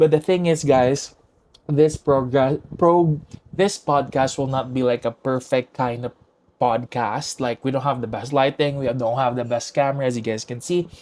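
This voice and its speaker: A man speaks at a medium pitch in a Visayan Filipino accent. His pace is moderate and his intonation fairly even. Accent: Filipino (Cebuano) English. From Philippines, Cebu City. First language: Cebuano (Bisaya). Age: 20s. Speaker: podcast host. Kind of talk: casual chat. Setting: home recording with own camera and mic.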